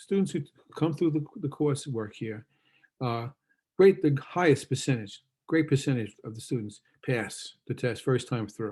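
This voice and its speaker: Speaking with a New York accent, a man with a fairly high, somewhat breathy voice and a dark, mellow tone uses lively intonation at a moderate pace. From New York City, Queens. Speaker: university lecturer, former school administrator. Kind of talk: lecture. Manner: casual, halting with fillers.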